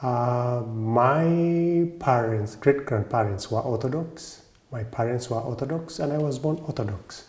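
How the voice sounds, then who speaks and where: A man with a Kenyan accent at medium pitch, fairly slow pace and ordinary pitch variation, with hardly any pauses and noticeable background noise. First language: Kikuyu. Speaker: Orthodox priest and monk. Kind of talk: interview monologue. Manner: hesitant, with fillers.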